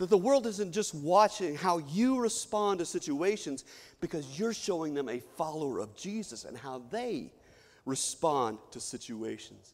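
A man's high, animated voice at a fairly slow pace, with very wide pitch swings and big swings in loudness. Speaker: preacher. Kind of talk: sermon. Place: church. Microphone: podium.

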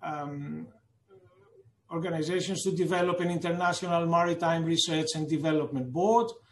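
Audible room echo surrounds a man speaking at a moderate pace, his pitch fairly high and his intonation fairly even.

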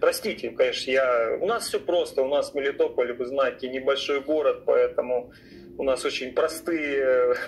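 Light background noise behind a male speaker at a moderate tempo. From Ukraine, Melitopol; Ukraine. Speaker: caller; talk show guest. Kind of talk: call-in conversation. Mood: calm, mildly skeptical. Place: home room. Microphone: studio mic.

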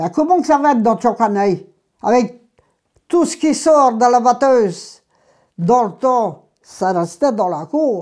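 A woman with a dark, mellow tone and fairly high pitch speaks at a very slow pace, using very wide pitch swings and long, frequent pauses against a quiet background. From Brittany, Ploeuc-sur-Lié (Côtes-d'Armor); Brittany. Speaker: gallo speaker, oral history witness; speaker, witness. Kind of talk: oral history interview. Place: home room. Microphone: lapel.

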